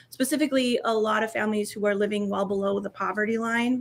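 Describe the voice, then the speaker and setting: In a strong North Dakota accent, a woman talks at a fairly quick pace. Her pitch sits fairly high. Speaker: equity and inclusion communications director, former teacher. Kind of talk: podcast interview.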